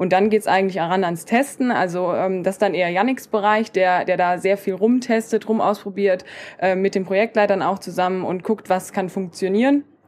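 Against noticeable background noise, a woman talks at a fairly quick pace in a medium pitch with fairly even intonation. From Germany, Koblenz. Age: 20s. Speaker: podcaster and student from a trades family business. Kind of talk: casual interview chat. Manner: hesitant fillers (ähm, äh).

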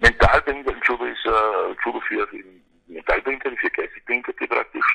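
A man's moderate-paced speech has a dry, close sound with no echo. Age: 50s. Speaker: Paralympic judo champion. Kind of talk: interview. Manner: halting. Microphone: poor phone line quality.

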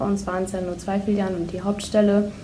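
Audible room echo surrounds a woman talking at a medium pitch and a moderate pace. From Lower Saxony, Germany (Holdorf). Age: 20s. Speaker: bank apprentice. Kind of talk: podcast interview.

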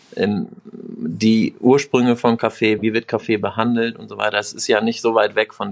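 The man speaks with monotone, flat intonation. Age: 30s. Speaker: bar owner and management consultant. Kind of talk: interview.

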